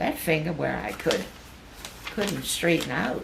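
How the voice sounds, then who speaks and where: A woman at a fairly slow pace, with noticeable background noise. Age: 80s+. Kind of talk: reading personal notes aloud.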